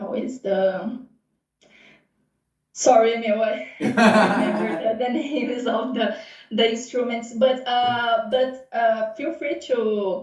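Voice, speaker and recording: Fairly high in pitch, a woman speaks with a Portuguese accent and fairly even intonation. Room echo is audible. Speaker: renewals manager. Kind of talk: casual interview. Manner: halting, searching for words.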